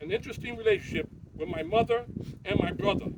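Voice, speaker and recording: A man speaks in a high pitch with lively intonation. Noticeable background noise runs underneath. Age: 60s. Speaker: eulogy speaker, pickleball player. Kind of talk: eulogy. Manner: halting.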